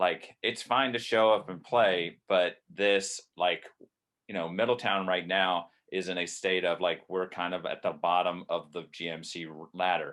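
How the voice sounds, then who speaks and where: This man has a normal speaking voice with a fairly low pitch and a moderate pace. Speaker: podcast host, coach. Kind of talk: podcast interview questions.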